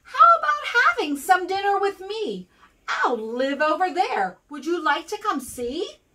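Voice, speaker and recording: In a put-on character voice, the speaker projects loudly at a moderate pace. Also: woman, extremely high pitch for a woman. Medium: read story. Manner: sly.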